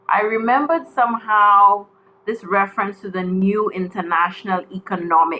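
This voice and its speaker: A woman speaks with a Caribbean accent at a medium pitch. Her pace is moderate and her pitch varies in an ordinary way. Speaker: panel speaker on trade policy. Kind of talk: panel presentation. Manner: formal.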